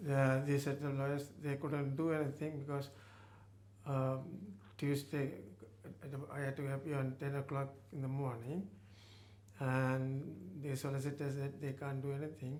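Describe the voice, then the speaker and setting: A man's fairly high voice at a moderate pace, flat and monotone, with long, frequent pauses and audible room echo. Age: 80s+. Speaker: retired GP. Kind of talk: testimony interview. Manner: halting.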